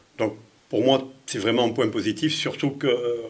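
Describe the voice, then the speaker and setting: A man's medium-pitched voice moves along at a fairly quick tempo. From France, Lyon. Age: 60s. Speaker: mayor. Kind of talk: interview. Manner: halting, many repetitions.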